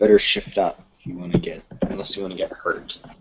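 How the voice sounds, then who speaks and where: This is a put-on character voice with a growling sound. It moves at a fairly quick pace. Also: man, medium pitch for a man. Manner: growling, threatening.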